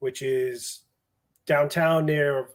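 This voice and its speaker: Speaking very slowly, a man with a strong Boston accent uses a fairly high pitch. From Boston, Massachusetts. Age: 40s. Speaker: fire captain and instructor. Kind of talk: interview.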